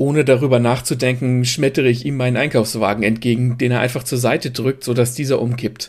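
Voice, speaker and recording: This man's medium-pitched voice runs at a fairly quick pace in a monotone, flat intonation. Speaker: narrator reading a short story. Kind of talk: dramatic first-person story narration, read aloud. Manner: vividly expressive, sardonic and breathless in the fight scenes.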